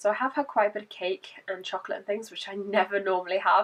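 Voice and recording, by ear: At a fast pace, a woman talks in a fairly bright tone at medium pitch with fairly even intonation.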